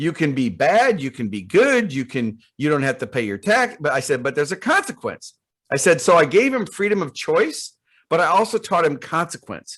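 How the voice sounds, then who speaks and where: A man with a high-pitched voice talks at a moderate pace with very wide pitch swings, on a very clean recording with a silent background. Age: 60s. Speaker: business growth consultant and entrepreneur. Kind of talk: interview. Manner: animated.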